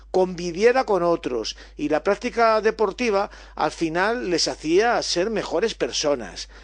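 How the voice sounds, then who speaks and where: A high-pitched man with lively intonation against a quiet background. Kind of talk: radio interview answer, explanatory talk. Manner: didactic, fluent.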